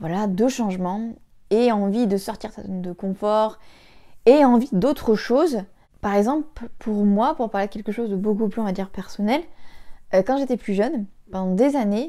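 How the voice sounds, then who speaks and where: In a very clean recording with a silent background, a woman with a dark, mellow tone speaks with ordinary pitch variation and long, frequent pauses. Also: fairly high pitch for a woman. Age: 20s. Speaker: vlogger, stay-at-home mother. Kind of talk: casual vlog monologue. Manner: fast; hesitant, many fillers.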